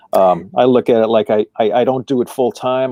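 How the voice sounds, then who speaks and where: Speaking at a moderate pace, a man with an American accent has a medium-pitched voice. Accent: Boston accent, stronger when tired. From Massachusetts, Boston area. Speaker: actor and musician. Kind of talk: casual chat. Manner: halting, repeats words.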